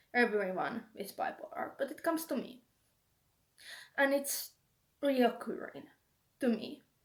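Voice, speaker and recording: A woman with a Finnish accent speaks at a fairly slow pace with long, frequent pauses, using a high pitch and lively intonation. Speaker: video blogger with schizophrenia. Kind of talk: casual talk to camera. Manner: halting, searching for words.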